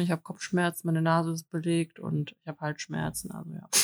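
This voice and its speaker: A woman with a fairly low pitch speaks fairly quickly. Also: dry, close sound with no echo. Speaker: podcast co-host. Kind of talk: casual chat.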